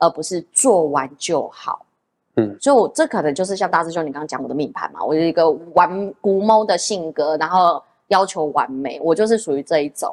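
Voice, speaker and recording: A woman with a Taiwanese accent speaks at a fairly quick pace, her fairly low pitch rising and falling in lively intonation. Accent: Taiwanese Mandarin. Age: 30s. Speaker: nail artist and salon owner. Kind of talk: casual interview.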